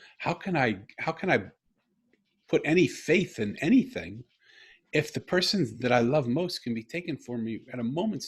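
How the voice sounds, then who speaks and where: Male speech full of vocal fry, with very wide pitch swings. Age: 60s. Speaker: podcast guest. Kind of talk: personal storytelling interview.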